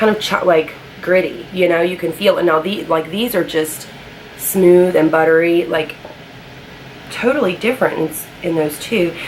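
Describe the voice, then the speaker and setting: Noticeable background noise runs under speech delivered at a moderate pace with fairly even intonation. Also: woman. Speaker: beauty vlogger. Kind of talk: casual talk to camera, product review.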